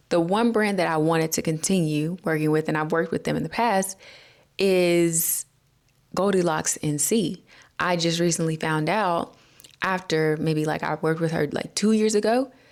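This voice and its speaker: A woman's fairly low voice in a Southern US accent, with very even loudness, ordinary pitch variation, and a moderate pace. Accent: Southern American English. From North Carolina, USA. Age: 20s. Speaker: hair care vlogger. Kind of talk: casual talk to camera. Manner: upbeat, chatty.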